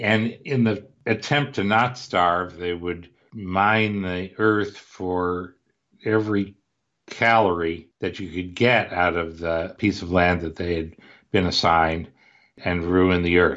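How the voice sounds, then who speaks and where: A man with an American accent speaks very slowly in a very deep, low voice with fairly even intonation. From US Midwest (Cleveland, Ohio). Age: 60s. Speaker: author and investment researcher. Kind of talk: podcast interview.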